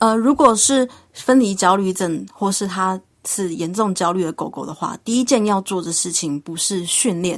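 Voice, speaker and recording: An ordinary speaking voice belongs to this woman, pitched at a medium level. She talks at a moderate pace with ordinary pitch variation. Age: young. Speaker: pet trainer. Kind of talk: radio interview.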